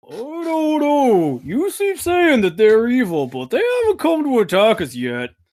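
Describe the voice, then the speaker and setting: A put-on character voice with a fairly high pitch runs at a moderate pace. It has hardly any pauses. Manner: arguing, heated.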